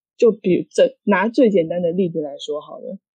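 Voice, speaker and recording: This is an unremarkable speaking voice moving at a moderate pace. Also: woman. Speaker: podcast co-host. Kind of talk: casual chat.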